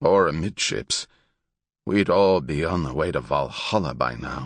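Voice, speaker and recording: In a put-on character voice, a man speaks raspy and very deep at a moderate pace with lively intonation against a quiet background. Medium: read story. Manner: commanding, gruff.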